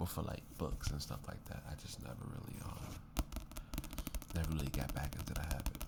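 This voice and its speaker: Soft-spoken, a man with a very deep, low pitch and ordinary pitch variation talks at a moderate pace, with long, frequent pauses and noticeable background noise. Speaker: ASMR creator. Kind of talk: casual ASMR talk to camera.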